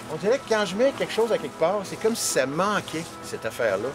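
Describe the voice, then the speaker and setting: Over music in the background, a man talks at a fairly quick pace in a Quebec accent. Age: 50s. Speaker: storyteller and video artist. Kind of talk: interview answer. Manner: rambling, casual, many hesitations.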